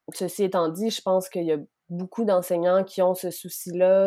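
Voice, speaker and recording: A woman with a Quebec accent, fairly low in pitch and dark, mellow in tone, at a fairly slow pace. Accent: Québécois French. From Quebec City, Quebec. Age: 20s. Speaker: sexology student. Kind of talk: interview.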